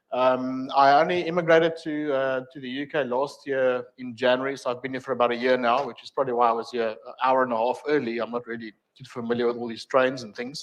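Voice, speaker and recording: A man with a South African accent speaks at a very fast pace with fairly even intonation. His loudness swings widely. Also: medium pitch for a man, hardly any pauses. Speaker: technical trainer. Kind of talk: lecture. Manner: hesitant, many fillers.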